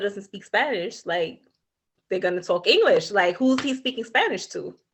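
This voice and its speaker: With an American accent, a woman speaks at a fairly slow pace in a fairly high pitch with ordinary pitch variation. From New York, Brooklyn. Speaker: podcast co-host. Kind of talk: casual chat.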